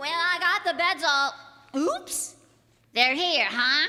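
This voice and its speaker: A woman puts on a character voice with extremely high pitch, delivered at a fairly slow pace. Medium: old radio play. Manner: deadpan, sarcastic.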